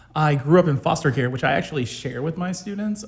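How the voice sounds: A man's somewhat breathy voice at a fairly quick pace, with lively intonation.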